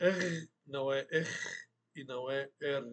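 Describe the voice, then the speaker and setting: With an Arabic accent, a man speaks in a bright, sharp tone with ordinary pitch variation. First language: Arabic (speaking Portuguese). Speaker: Arabic language teacher. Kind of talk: online language lesson.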